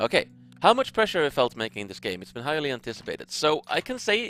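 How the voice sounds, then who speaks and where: In a strong Swedish accent, the voice swings very widely in pitch, with a dry, close sound, no echo, and a very clean recording over a silent background. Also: man. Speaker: game director. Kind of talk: livestream Q&A. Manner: casual.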